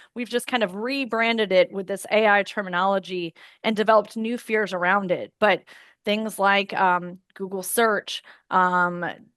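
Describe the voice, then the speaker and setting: Against a quiet background, a woman speaks in an unremarkable speaking voice at a medium pitch and moderate pace, her intonation fairly even and the sound dry and close with no echo. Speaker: employment lawyer presenting. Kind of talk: webinar presentation.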